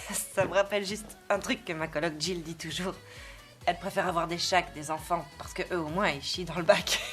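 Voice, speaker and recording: Over background music, a woman with a fairly low pitch and ordinary pitch variation speaks at a moderate pace, her loudness swinging widely and her speech broken by long, frequent pauses. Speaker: voice actress. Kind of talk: film and TV dubbing. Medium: dub.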